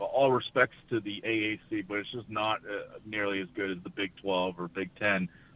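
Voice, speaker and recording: A man with a fairly low voice speaks at a moderate pace. His intonation is lively. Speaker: college basketball analyst. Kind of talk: radio interview, sports analysis. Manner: conversational, hesitant with fillers.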